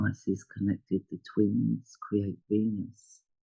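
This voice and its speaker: Speaking at a very slow pace, a man with a dark, mellow tone and fairly low pitch sounds somewhat breathy, his intonation fairly even and the sound dry and close with no echo. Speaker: astrologer. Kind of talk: astrology chart talk. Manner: hesitant, many fillers.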